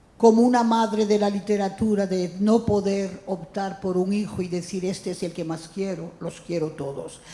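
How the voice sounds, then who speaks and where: With noticeable background noise behind her, a woman speaks at a moderate pace with hardly any pauses. Her pitch sits in the medium range and her intonation stays fairly even. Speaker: francophonie ambassador, writer and critic. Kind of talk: introductory speech.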